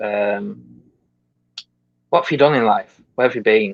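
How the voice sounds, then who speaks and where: A man with an English accent, in a dry, close sound with no echo. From England. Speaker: podcast host. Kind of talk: interview. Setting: live video podcast.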